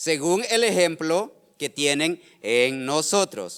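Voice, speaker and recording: A man talks with lively intonation. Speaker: pastor. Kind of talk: sermon. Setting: church service streamed online. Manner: halting, frequent repetitions.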